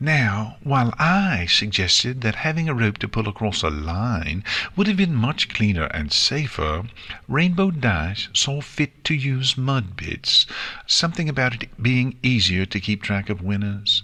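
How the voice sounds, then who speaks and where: In a put-on character voice, a man talks in a sing-song way at a medium pitch and moderate pace. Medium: read story. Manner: refined, sing-song.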